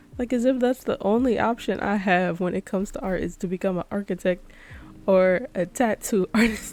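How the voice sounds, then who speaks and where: A woman speaks at a moderate pace in a medium pitch with ordinary pitch variation and an unremarkable speaking voice. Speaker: artist and drawing vlogger. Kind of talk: casual chat. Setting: home recording, late at night. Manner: soft-spoken.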